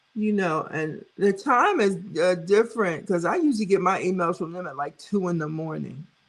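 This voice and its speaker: A woman with an American accent speaks at a moderate pace and medium pitch. Her pitch variation is ordinary, with hardly any pauses. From New York City, Brooklyn. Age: 60s. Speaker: weight loss vlogger, live stream host. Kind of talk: casual live stream chat reading comments. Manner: animated.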